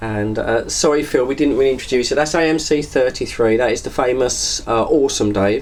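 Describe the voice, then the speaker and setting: The speaker has an English accent, and noticeable background noise can be heard. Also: man. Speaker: CB radio operator. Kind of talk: CB radio chat.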